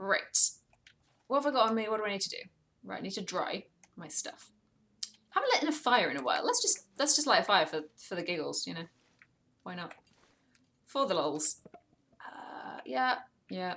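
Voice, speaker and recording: A woman speaks at a moderate pace with vocal fry and very wide pitch swings. Long, frequent pauses break up her speech. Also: medium pitch for a woman. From Wales. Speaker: gaming streamer. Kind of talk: live game stream commentary with chat. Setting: live stream. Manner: relaxed, casual.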